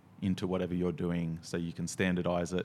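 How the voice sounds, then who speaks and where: A man with a very deep, low voice and an Australian accent, at a moderate pace. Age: 40s. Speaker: coffee roaster and skydiver. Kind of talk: casual chat.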